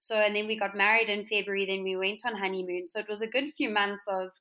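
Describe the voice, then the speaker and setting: A woman with a South African accent, a medium pitch, a bright, sharp tone and fairly even intonation, on a very clean recording with a silent background. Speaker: interior designer and entrepreneur. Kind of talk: casual interview chat.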